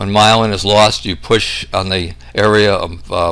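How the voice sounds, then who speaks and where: The intonation is lively, with noticeable background noise and audible room echo. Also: man. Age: 60s. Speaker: medical researcher, doctor. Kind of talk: lecture. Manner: hesitant with frequent fillers.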